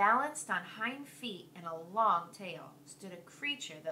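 The clip is plain reading aloud, delivered with lively intonation.

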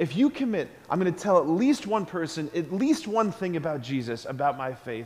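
A man speaks in an animated tone at a moderate pace, his high pitch swinging very widely. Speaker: priest. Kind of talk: school Mass homily to children. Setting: church. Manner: earnest, animated, conversational; repeats key phrases for emphasis, asks the kids questions. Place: church.

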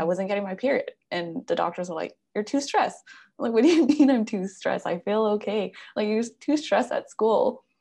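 A woman talks with lively intonation and vocal fry. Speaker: podcast host and wellness coach. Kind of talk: casual interview. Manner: enthusiastic. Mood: animated, personal storytelling. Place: home room. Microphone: video call.

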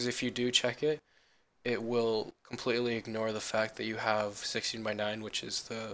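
With a bright, sharp tone, a man speaks in a monotone, flat intonation. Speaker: gamer, tutorial maker. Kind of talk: screen-recorded software tutorial. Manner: casual, hesitant.

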